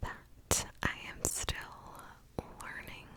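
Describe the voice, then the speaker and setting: Through noticeable background noise, a woman whispers at a very slow pace. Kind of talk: ASMR ramble and advice, casual talk to camera. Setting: close-mic recording at night. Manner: whispered, close-up.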